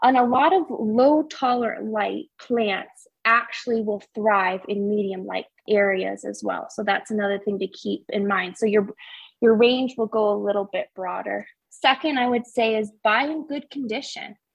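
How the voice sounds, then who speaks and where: This woman has an ordinary speaking voice, fairly high in pitch, with ordinary pitch variation and a moderate pace. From upstate New York. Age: 20s. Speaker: plant enthusiast and home-design guest. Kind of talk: casual chat.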